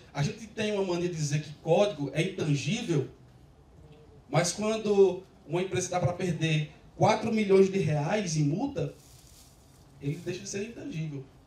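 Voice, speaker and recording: Speaking in a Rio Grande do Norte accent, a man with a high pitch keeps a moderate pace, ordinary pitch variation, big swings in loudness, and long, frequent pauses. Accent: northeastern Brazilian (potiguar). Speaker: software developer, conference speaker. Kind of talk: tech conference talk. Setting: stage with audience. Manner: casual, joking with audience.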